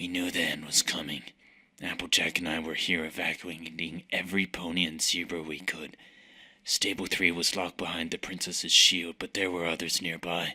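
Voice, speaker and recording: Putting on a character voice, a man talks at a moderate pace in a very deep, low pitch. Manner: grave, solemn.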